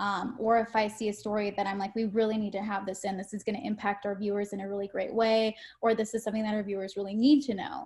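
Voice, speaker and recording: Talking very fast with hardly any pauses, a woman with an American accent uses a somewhat breathy, fairly high-pitched voice and flat, monotone intonation. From California, Modesto. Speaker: TV news anchor. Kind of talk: interview.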